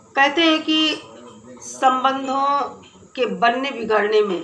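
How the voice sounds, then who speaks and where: A woman speaks with a high pitch and lively intonation. Noticeable background noise and audible room echo fill the recording. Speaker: YouTube commentary vlogger. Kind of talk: opinion commentary vlog.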